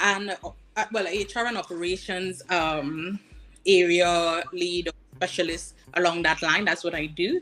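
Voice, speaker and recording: A bright, sharp tone with a Trinidadian accent and ordinary pitch variation. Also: woman. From Trinidad and Tobago. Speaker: career coach. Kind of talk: casual interview. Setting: livestream.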